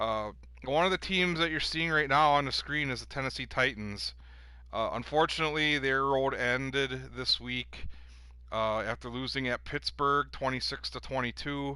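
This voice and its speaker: A man with a Wisconsin accent speaks against a quiet background. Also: moderate pace. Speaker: gaming league commissioner and streamer. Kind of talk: casual commentary show. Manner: casual, many filler words.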